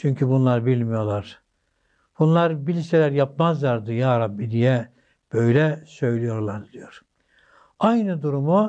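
A man's dark, mellow voice at a very slow pace, with ordinary pitch variation and a quiet background. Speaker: religious teacher. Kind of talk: sermon. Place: studio.

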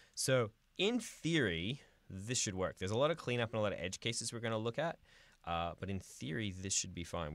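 Against a quiet background with a dry, echo-free sound, a man talks fairly quickly at a fairly low pitch, his voice swinging very widely up and down. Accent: Australian. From Australia. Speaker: software developer live streamer. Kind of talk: live coding stream. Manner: fast; casual, filler-heavy.

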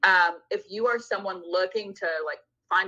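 A woman's fairly even intonation stands out against a quiet background. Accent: American. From Southern California. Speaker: venture investor; guest. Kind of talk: casual interview. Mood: friendly, relaxed. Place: home room. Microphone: video call.

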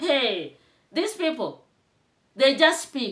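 A woman with an animated tone against a quiet background. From Kenya. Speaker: YouTube commentator. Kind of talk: commentary vlog. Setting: home, on camera with tripod. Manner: animated, emphatic. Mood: indignant. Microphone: phone near.

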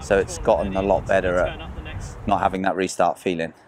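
A man with a very deep, low voice speaks in a dry sound with no echo. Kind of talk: interview answer. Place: open country. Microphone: lapel.

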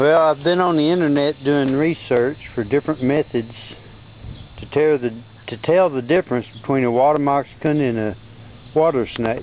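Over light background noise, a man with a Southern US accent speaks at a moderate pace and a fairly high pitch, with ordinary pitch variation and a dry, echo-free sound. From Arkansas. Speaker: amateur naturalist. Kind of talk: casual narration over home video. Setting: outdoors. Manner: halting, casual. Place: garden. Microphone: phone near.

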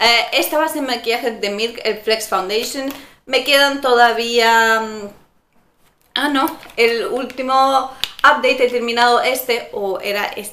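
There is light background noise and audible room echo. A woman with a high pitch speaks at a fairly slow pace and with fairly even intonation. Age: 20s. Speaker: beauty vlogger. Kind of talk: product review vlog. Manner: casual, hesitant with fillers. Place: home room. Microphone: camera far.

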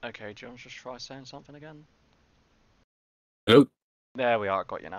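The speaker is a man. His voice sounds dry, with no echo. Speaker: game streamer. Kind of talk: casual livestream chat. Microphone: headset.

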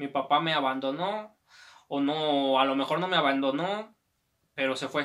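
With a Mexican accent, a man speaks at a fairly slow pace in a bright, sharp tone over a quiet background. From Mexico. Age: 20s. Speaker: YouTuber. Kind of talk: personal life story. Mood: reflective, personal. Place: home room.

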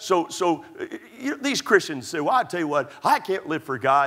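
With an American accent, a man speaks at a moderate pace with very wide pitch swings over noticeable background noise. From Texas. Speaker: pastor. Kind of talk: sermon. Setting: church. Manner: repetitive, emphatic preaching.

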